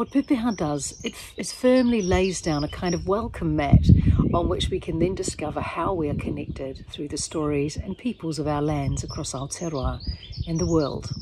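A woman's very deep, low voice at a moderate pace, dry with no echo, against noticeable background noise. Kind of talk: reading from her book. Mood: warm, reflective. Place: forest. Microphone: phone near.

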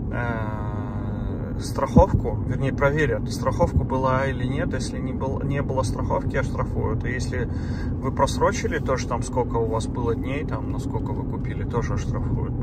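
A man talks at a moderate pace. The sound is dry with no echo, set against loud background noise. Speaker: travel vlogger. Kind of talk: casual vlog chat. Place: car. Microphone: phone near.

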